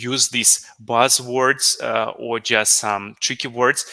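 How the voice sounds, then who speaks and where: A man with a non-native accent, medium pitch and a bright, sharp tone, fairly even intonation, in a dry, close sound with no echo. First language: not English. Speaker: business analyst, conference speaker. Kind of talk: conference talk Q&A. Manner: halting, many fillers.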